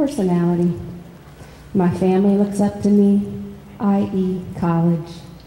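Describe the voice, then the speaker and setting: A woman's medium-pitched voice at a fairly slow pace, with fairly even intonation, audible room echo and light background noise. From US Midwest. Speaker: poet. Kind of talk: reading aloud and panel discussion. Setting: stage with audience. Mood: calm, reflective. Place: hall. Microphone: handheld.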